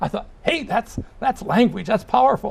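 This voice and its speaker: Through noticeable background noise, a man's voice moves in very wide pitch swings. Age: 70s. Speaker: retired journalist and journalism teacher. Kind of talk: interview. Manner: halting.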